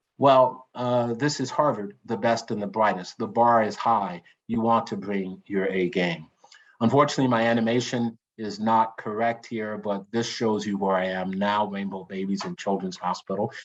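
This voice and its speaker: With an American accent, a man speaks at a fairly low pitch, varying it in an ordinary way. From US South, Lynchburg, Virginia. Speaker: pediatric surgeon. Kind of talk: lecture. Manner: fast; halting.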